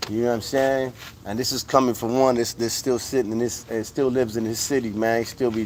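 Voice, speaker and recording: Over noticeable background noise, a man speaks in an animated tone with an American accent. His pitch sits in the medium range. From US West Coast, Modesto, California. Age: 40s. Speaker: livestream host. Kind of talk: casual livestream chat.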